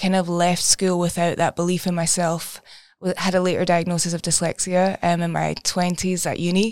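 With a Scottish accent, a woman talks at a fairly quick pace in a flat monotone. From Scotland. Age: 20s. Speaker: therapist. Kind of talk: casual chat.

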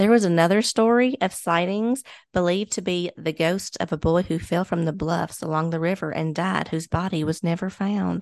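Against a quiet background, a woman with a Kentucky accent speaks at a fairly low pitch with hardly any pauses. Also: ordinary pitch variation, moderate pace. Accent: Kentucky Southern. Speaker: podcast co-host. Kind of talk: casual chat.

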